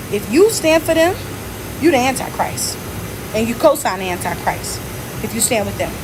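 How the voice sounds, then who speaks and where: Loud, a woman's voice comes through with audible room echo and noticeable background noise. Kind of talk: livestream monologue. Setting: hospital bed. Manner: animated.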